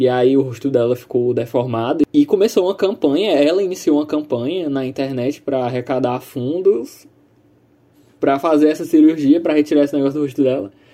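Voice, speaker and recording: A man talks fairly quickly at a fairly high pitch, his tone dark and mellow and his pitch varying in an ordinary way. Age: 20s. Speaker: podcast co-host. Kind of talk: casual chat.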